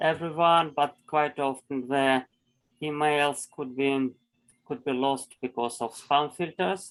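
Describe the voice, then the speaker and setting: A man speaks very slowly in a strong Russian accent, his pitch fairly high. His intonation stays fairly even against a quiet background. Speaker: environmental nonprofit project leader. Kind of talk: online meeting presentation. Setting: video call. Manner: halting, with many repetitions.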